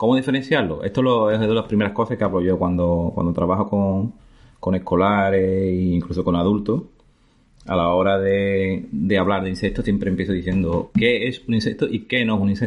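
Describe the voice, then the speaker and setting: A man with a normal speaking voice and fairly low pitch talks at a fairly quick pace. His loudness stays very even and his intonation fairly even. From Andalusia, Spain (La Barca de la Florida, Jerez, Cádiz). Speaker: biologist. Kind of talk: casual interview. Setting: in person.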